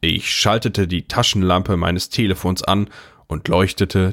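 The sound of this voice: On a very clean recording with a silent background, a man talks in a low voice with vocal fry and fairly even intonation. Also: fairly bright tone.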